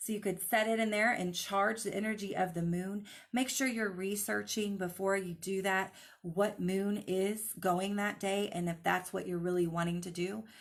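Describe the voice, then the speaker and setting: With a normal speaking voice, a woman talks at a moderate pace and medium pitch using fairly even intonation. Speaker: crystal healing teacher. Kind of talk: live online class. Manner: casual, filler-heavy.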